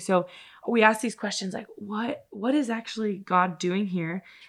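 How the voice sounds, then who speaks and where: In a plain, everyday voice, a woman talks at a moderate speed and a mid-range pitch, with ordinary pitch variation. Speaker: college admissions staff podcast host. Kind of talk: casual interview chat.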